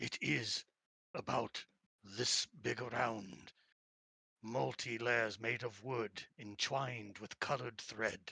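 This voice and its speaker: In a raspy put-on character voice, a man speaks at a medium pitch and a fairly slow pace with fairly even intonation and long, frequent pauses, the sound dry and close with no echo. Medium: actual play. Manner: formal, archaic phrasing.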